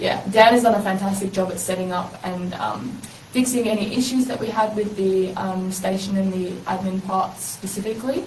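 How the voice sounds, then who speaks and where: A woman's medium-pitched voice in an Australian accent, at a moderate pace with fairly even intonation, amid noticeable background noise and audible room echo. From South Australia, Adelaide. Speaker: university language student and community radio worker. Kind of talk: interview conversation.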